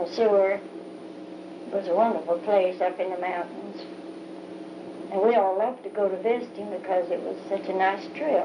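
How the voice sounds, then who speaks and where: Against noticeable background noise, a woman speaks at a moderate pace in a medium pitch with ordinary pitch variation and long, frequent pauses. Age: 80s+. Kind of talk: oral history recollection. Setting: home cassette tape recording.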